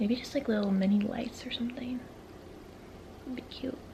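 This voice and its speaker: A woman whispers over noticeable background noise. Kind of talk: casual vlog talk to camera. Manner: whispering.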